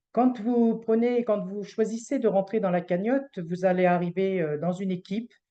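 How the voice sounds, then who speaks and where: A woman speaks at a moderate pace in a medium pitch, with ordinary pitch variation and hardly any pauses. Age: 60s. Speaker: retired hospital civil servant presenting a fundraising association. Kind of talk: online presentation. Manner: hesitant, many fillers.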